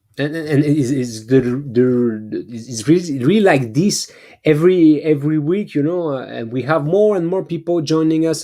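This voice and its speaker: A man with a French accent, fairly high in pitch, dark and mellow in tone, with ordinary pitch variation and a fairly slow pace. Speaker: beat-making livestream host. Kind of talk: casual livestream chat. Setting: online livestream. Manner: halting, many repetitions.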